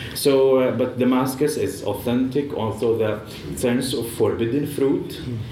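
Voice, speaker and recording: A man with a Syrian accent speaks fairly slowly at a medium pitch in a flat monotone. Audible room echo and noticeable background noise fill the recording. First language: Arabic. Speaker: author and journalist. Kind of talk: panel talk at literature festival.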